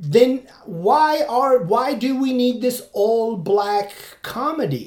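A man with a Turkish accent, extremely high-pitched, very slow pace, ordinary pitch variation. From Turkey. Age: 40s. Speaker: podcaster and stand-up comedian. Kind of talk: solo monologue, casual commentary. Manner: halting, with frequent fillers and restarts.

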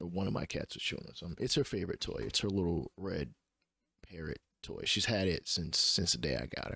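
Talking at a very fast pace, a man uses a very deep, low pitch in a bright, sharp tone with lively intonation and vocal fry. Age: 30s. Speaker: podcast host and gamer. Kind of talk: solo podcast monologue about sports video games. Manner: casual, opinionated, conversational.

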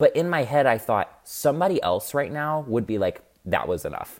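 A man speaks in a normal speaking voice with an American accent. His intonation is lively and his pace fairly quick. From US Midwest, Illinois. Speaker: TikTok creator. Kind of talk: casual chat.

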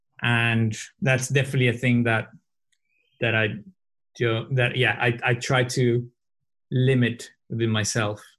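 The man speaks at a medium pitch in a monotone, flat delivery, his loudness very even. His pace is fairly slow, with long, frequent pauses. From southern Brazil, Porto Alegre. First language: Portuguese. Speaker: advertising strategist and coach. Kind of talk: casual chat. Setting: video call. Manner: halting.

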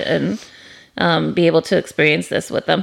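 The recording is very clean, with a silent background. A woman speaks at a moderate pace in a fairly low voice with vocal fry. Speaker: podcast host. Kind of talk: casual chat. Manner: animated, enthusiastic.

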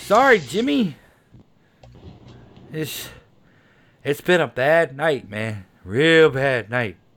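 A man does a put-on character voice, raised and projected, shaky and fairly high with very wide pitch swings. He speaks very slowly with long, frequent pauses.

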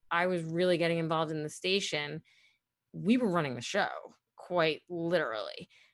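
A woman with an American accent speaks at a fairly low pitch against a quiet background. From Brooklyn, New York. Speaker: former college radio program director. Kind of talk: interview reminiscence. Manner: chatty, laughs often.

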